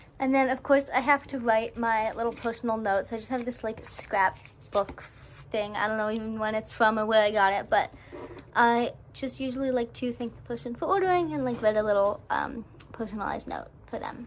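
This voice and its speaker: A woman with a fairly high voice talks fairly quickly, her pitch moving in an ordinary way, as noticeable noise runs in the background. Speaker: crochet small business owner vlogger. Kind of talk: casual vlog narration. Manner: filler-heavy casual.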